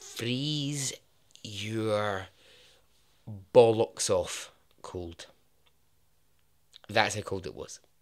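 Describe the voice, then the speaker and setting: In a very clean recording with a silent background, the speaker uses a Scottish accent at a very slow pace, with long, frequent pauses, big swings in loudness and ordinary pitch variation. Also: man, medium pitch for a man. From Scotland. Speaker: podcast host, storyteller. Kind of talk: casual storytelling narration.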